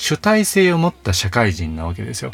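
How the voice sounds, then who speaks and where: A man at medium pitch and a moderate pace sounds somewhat breathy, his pitch swinging very widely. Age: 30s. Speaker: counselor and author, podcast host. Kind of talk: solo monologue podcast. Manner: frequent filler words.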